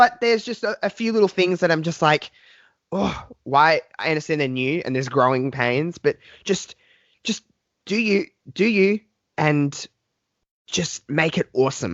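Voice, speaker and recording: At a moderate pace broken by long, frequent pauses, a man talks in a high pitch with lively intonation. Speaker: wrestling podcaster. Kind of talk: casual chat. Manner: halting.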